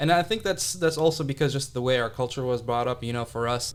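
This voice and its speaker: A man with an American accent, medium pitch and ordinary pitch variation. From Saudi Arabia, Jeddah. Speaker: company founder, entrepreneur. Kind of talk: interview conversation.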